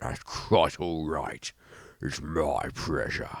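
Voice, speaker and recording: A man does a put-on character voice, growling at a very deep, low pitch and a very slow pace. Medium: read story. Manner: bellowing, gloating.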